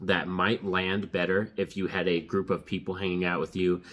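A man's very deep, low voice at a moderate pace. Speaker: movie reviewer. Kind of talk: casual review commentary. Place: home room.

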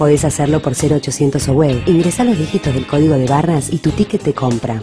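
A woman with a Rioplatense accent, a very deep, low pitch and lively intonation, with music in the background. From Argentina. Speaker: voice actor. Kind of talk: TV commercial read.

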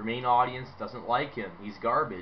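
A loud man speaks at a moderate pace over light background noise. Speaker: wrestling fan YouTuber. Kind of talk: angry rant; opinionated video commentary. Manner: emphatic, repetitive, dismissive; loud, sarcastic, animated. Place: home room. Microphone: webcam.

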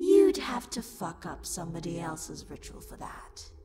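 A woman's raspy put-on character voice at a moderate pace, with clear echo. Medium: role play. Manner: loud, angry, sassy.

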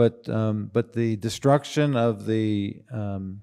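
The voice has a dark, mellow tone and fairly even intonation. The background is quiet. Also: man. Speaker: conference speaker. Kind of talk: lecture. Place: hall. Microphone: podium.

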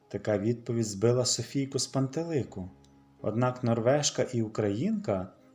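Natural reading, nothing more.

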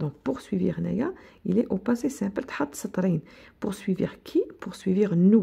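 The voice is somewhat breathy, with a dark, mellow tone and an Algerian accent. Its intonation is lively and its pace fairly slow. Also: woman. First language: Algerian Arabic (speaking French). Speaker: teacher. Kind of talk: lecture; tutorial. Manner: code-switching Arabic and French; halting, repetitive. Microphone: phone near.

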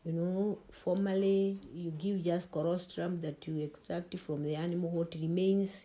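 A woman speaks at a fairly slow pace in a fairly low pitch, her tone dark and mellow and her intonation monotone and flat. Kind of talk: interview answer. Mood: calm, explanatory. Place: home room.

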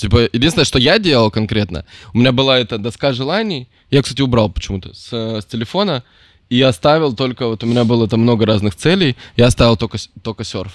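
A plain, everyday voice moves at a moderate pace with ordinary pitch variation. The recording is very clean and dry, close-miked with a silent background and no echo. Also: man. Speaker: podcast host. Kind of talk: casual chat.

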